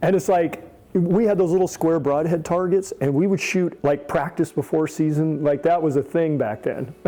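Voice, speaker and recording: With an American accent, a man speaks at a fairly high pitch in an animated tone against noticeable background noise. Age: 60s. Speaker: archery shop owner. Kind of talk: interview storytelling.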